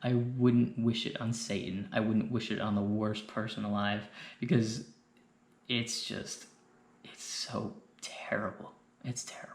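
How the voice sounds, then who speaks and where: A man whispers at a fairly slow pace, with long, frequent pauses and big swings in loudness. The room echo is audible and background noise is noticeable. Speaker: YouTuber sharing mental health advice. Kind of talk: personal monologue. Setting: indoors late at night. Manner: whispering; rambling, hesitant.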